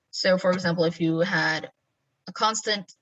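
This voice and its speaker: Her pace is fairly slow, and this woman's pitch shows ordinary variation. She speaks at a fairly low pitch. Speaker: programming teacher. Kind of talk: lecture.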